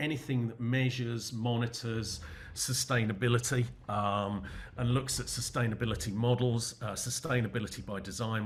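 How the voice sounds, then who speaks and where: A man speaks with an English accent. His voice is somewhat breathy. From England. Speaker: business consultant. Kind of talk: webinar Q&A. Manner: halting, many fillers.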